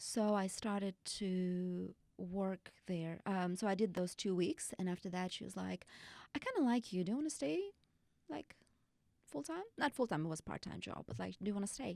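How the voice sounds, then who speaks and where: A woman in a Russian accent, medium in pitch, with lively intonation and a moderate pace, in a dry, close sound with no echo. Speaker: bachata instructor. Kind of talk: podcast interview.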